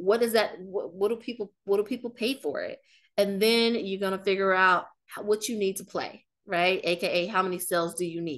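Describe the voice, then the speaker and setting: With an American accent and an animated tone, a woman talks at a medium pitch with ordinary pitch variation over a quiet background. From US Midwest, Kansas City, Missouri. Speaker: marketing strategist and business coach. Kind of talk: webinar presentation. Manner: fast.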